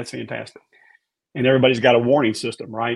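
A man with a Memphis accent talks at a very fast pace in a monotone, flat intonation. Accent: Southern US (Memphis). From US South, Memphis, Tennessee. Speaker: former TV meteorologist and author. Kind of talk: casual interview.

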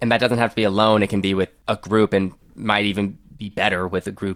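An unremarkable speaking voice moves at a fairly quick pace with fairly even intonation, recorded very cleanly with a dry, close sound, no echo and a silent background. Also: man. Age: 20s. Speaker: drummer and podcast host. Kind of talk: interview.

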